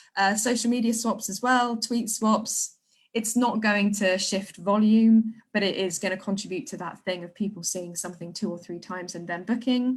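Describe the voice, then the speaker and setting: A somewhat breathy woman, medium in pitch, with fairly even intonation, big swings in loudness and hardly any pauses. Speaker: theatre marketing director. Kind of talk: online talk / webinar. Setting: livestream video call. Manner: fast.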